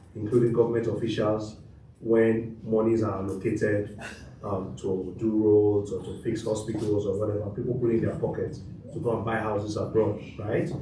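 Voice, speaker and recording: A man speaks at a medium pitch. Audible room echo surrounds his voice. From Nigeria. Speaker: lawyer, panelist. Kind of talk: panel talk.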